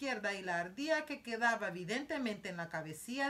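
Lively intonation in an unforced reading voice

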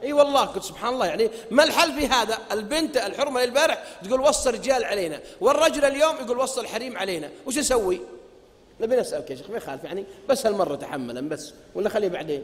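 This man sounds animated, his pitch extremely high with very wide swings. He talks at a fairly quick pace. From Saudi Arabia. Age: 40s. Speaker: preacher; religious lecturer. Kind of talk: lecture. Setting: stage with audience. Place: hall. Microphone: podium.

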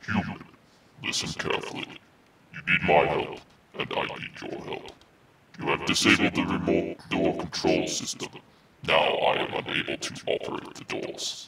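A man speaks in a put-on character voice pitched extremely high. His pace is moderate, broken by long, frequent pauses. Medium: audio drama.

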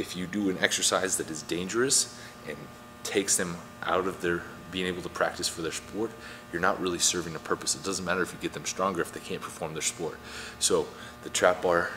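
Fairly even intonation at a fairly quick pace, with music in the background. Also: man, very deep, low pitch for a man. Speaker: strength coach. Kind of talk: tutorial. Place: gym.

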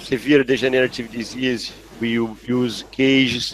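Speaking at a very slow pace with a Portuguese accent, a man comes through dry with no echo over light background noise. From Brazil. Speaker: neurosurgeon; guest. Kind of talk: case discussion; interview answer. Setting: video call. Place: home room. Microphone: headset.

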